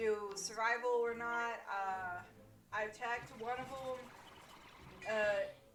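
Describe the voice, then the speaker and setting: Over noticeable background noise and audible room echo, a woman speaks in a fairly high, monotone, flat voice. Her pace is very slow, with long, frequent pauses. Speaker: gaming streamer. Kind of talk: live stream chat. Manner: loud; halting.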